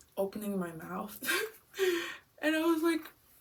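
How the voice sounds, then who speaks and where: A woman keeps a moderate pace while noticeable noise plays in the background. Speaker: vlogger. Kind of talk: casual vlog.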